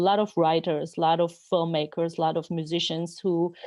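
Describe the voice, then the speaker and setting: A woman with a Georgian accent, fairly low in pitch, at a moderate pace with monotone, flat intonation. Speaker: novelist. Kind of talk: interview. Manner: halting.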